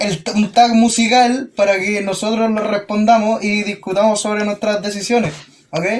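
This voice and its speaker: Over noticeable background noise, a man with a Chilean accent speaks at a high pitch and moderate pace with monotone, flat intonation. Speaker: podcast host. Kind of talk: casual chat.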